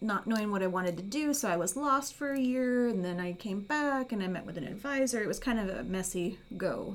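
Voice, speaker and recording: This woman has a plain, everyday voice, pitched fairly high. She talks at a fairly quick pace with lively intonation. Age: 40s. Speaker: podcast host, university staff. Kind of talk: interview.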